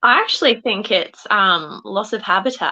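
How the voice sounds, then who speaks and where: A woman's bright, sharp voice with an Australian accent and ordinary pitch variation. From Queensland, Australia. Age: 20s. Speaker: pageant contestant. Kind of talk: panel discussion.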